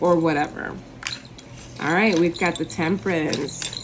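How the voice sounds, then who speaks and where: Noticeable background noise sits behind a woman's voice. She talks at a moderate pace with a fairly low pitch. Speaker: tarot reader. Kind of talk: tarot reading to camera. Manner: casual, conversational with fillers; stutters at times.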